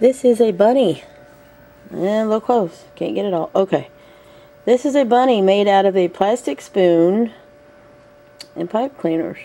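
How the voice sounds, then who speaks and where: A woman with lively intonation at a fairly slow pace, long, frequent pauses, and noticeable background noise. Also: medium pitch for a woman. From US South. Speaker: vlogger. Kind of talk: casual chat. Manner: hesitant, many fillers.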